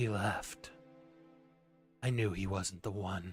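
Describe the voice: Faint music sits behind a put-on character voice pitched low and delivered at a fairly slow pace.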